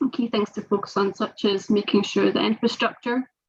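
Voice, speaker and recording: A somewhat breathy woman with a Scottish accent, fairly high in pitch, at a moderate pace with fairly even intonation. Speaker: sports governance professional. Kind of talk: panel webinar discussion. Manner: halting, many fillers.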